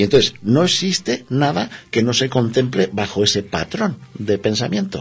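Against a quiet background, a man with a medium, somewhat breathy voice speaks at a fairly slow pace with very wide pitch swings and hardly any pauses. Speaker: alchemy therapist. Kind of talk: interview.

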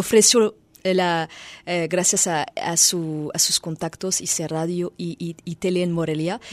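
A woman speaks at a medium pitch in a French accent. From France. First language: French (speaking Spanish). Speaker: musician. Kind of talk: interview. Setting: radio studio. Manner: halting.

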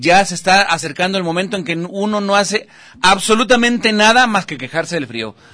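A man talks at a moderate pace in a bright, sharp, animated tone. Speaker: TV show host. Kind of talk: casual chat.

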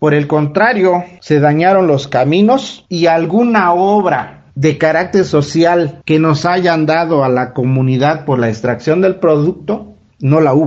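Hardly pausing, a man with a fairly high pitch talks at a fairly slow pace in an ordinary speaking voice with ordinary pitch variation. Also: very even loudness. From Oaxaca, Mexico. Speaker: community member. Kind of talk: recorded testimony. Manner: formal.

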